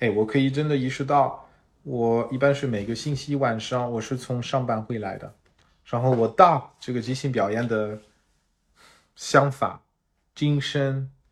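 Speaking in a French accent, a man of medium pitch goes at a fairly slow pace with fairly even intonation and long, frequent pauses. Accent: French-accented Mandarin. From France. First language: French (speaking Chinese). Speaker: podcast co-host. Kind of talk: casual chat. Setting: living room at home. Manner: halting.

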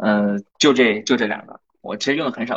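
A man speaks with lively intonation. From Inner Mongolia, near Northeast China. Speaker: photography blogger. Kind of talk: live-stream conversation.

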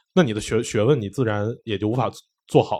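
Someone speaks at a fairly quick pace in an ordinary speaking voice, and the recording is very clean with a silent background. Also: man. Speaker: podcaster and history PhD. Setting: stage with audience.

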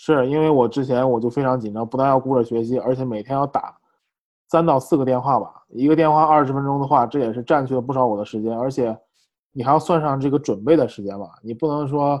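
This man talks at a very fast pace, his medium pitch carried by fairly even intonation. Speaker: MBA student. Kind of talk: casual interview.

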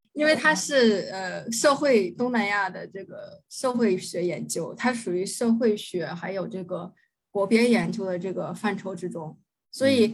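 A woman speaks fairly slowly in an ordinary speaking voice. Her pitch is medium, and her intonation is lively. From Tianjin, China. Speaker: guest working abroad in Thailand. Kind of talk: casual chat.

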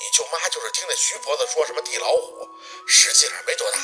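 Faint music plays in the background as a man in a put-on character voice talks fast at a fairly high pitch, in a bright, sharp tone with very wide pitch swings.

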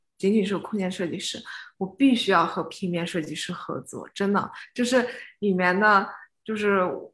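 With a plain, everyday voice, a woman talks at a moderate pace, using medium pitch and ordinary pitch variation. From China, Suzhou. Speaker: spatial experience designer. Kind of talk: casual interview.

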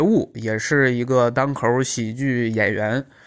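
A man talks at a very slow pace. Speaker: accountant and stand-up comedian. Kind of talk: casual recorded monologue. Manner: halting, many fillers and repetitions.

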